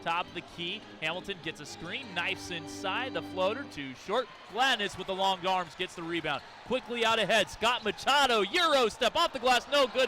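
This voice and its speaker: A man with a high pitch uses a raised, projected voice, his pitch swinging very widely and his loudness swinging greatly. Noticeable background noise sits behind him. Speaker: sports broadcaster. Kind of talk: radio play-by-play call.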